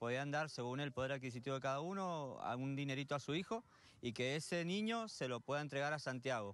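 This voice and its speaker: The man talks at a fairly quick pace with ordinary pitch variation. The sound is dry, with no echo. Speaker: youth football coach. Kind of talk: interview answer. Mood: warm, pleased. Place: open country. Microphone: handheld.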